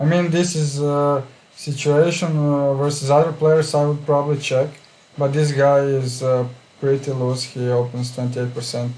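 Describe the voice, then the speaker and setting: With a non-native accent, a man speaks at a fairly high pitch in monotone, flat intonation. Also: moderate pace. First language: not English. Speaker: poker player. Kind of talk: casual chat. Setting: live stream. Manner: hesitant, many fillers.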